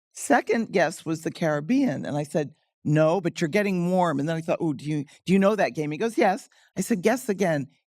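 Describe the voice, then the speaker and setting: A woman with an American accent speaks at a fairly quick pace in an unremarkable speaking voice, pitched fairly low. The recording is very clean, with a silent background. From United States. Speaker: diplomat. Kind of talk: panel discussion.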